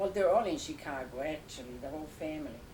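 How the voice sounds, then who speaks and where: A woman with an Italian accent speaks at a very deep, low pitch with fairly even intonation. Noticeable background noise and audible room echo fill the recording. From Italy, Tuscany near Lucca. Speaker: grandmother. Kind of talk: family interview. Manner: halting.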